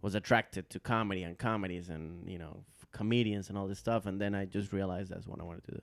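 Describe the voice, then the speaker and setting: A man with a Latin American accent, fairly low in pitch, very fast, with hardly any pauses, fairly even intonation and big swings in loudness. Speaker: stand-up comedian. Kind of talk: podcast interview answer. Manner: casual, hesitant.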